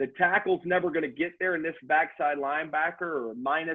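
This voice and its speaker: The man has an ordinary speaking voice pitched fairly high. He talks at a fairly quick pace with ordinary pitch variation. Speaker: football coach. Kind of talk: online coaching clinic presentation.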